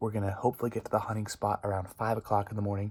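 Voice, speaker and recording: A quiet, somewhat breathy, fairly low male voice with monotone, flat intonation. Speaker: hunting vlogger. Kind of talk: vlog to camera. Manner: quiet, hushed.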